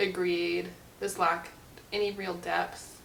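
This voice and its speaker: A woman talks over noticeable background noise. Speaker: book reviewer. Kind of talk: casual talk to camera. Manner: sassy, increasingly irritated.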